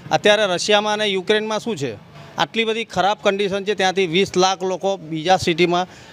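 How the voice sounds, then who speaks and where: The pitch of this man's voice is high. The sound is dry, with no echo. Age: 60s. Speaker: local resident, voter. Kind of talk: vox pop interview; interview answer. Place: street. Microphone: handheld.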